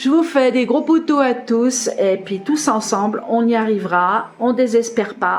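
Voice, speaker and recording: Against noticeable background noise, a woman with a fairly high pitch talks at a fairly slow pace with ordinary pitch variation. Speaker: tarot card reader. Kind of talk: tarot reading video. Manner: casual, hesitant.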